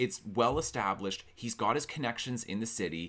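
This man speaks with a fairly low pitch. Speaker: book vlogger. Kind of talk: book discussion vlog. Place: home room. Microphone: studio mic.

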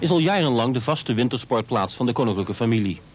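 A man talks at a medium pitch. Noticeable noise runs behind him. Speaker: news reporter. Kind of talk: 1980s TV news report, scripted voice-over. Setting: outdoors report with voice-over over footage. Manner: formal, measured, even-toned newsreader delivery.

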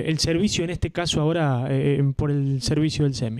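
Moderate pace and ordinary pitch variation from a man, very clean recording, silent background. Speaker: local radio interviewer. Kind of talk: interview. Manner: halting, many repetitions.

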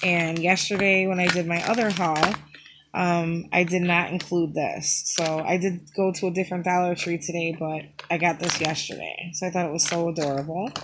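A woman speaks at a moderate pace in a monotone, flat intonation. Background noise is noticeable. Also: fairly low pitch for a woman. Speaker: YouTube haul vlogger. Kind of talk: casual haul video monologue. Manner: chatty, with fillers.

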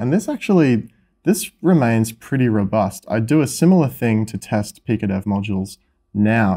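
A man speaks with a dark, mellow tone and ordinary pitch variation. The background is quiet. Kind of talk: tutorial. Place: workshop. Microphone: camera far.

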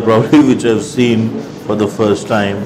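A man talks while clear music plays behind him. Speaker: food vlogger. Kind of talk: food review commentary. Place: cafe. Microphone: lapel.

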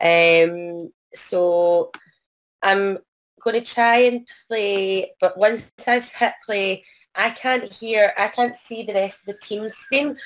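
A very slow pace in a Scottish accent, with ordinary pitch variation. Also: woman. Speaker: arts project worker. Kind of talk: online presentation. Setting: video call. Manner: hesitant, many fillers.

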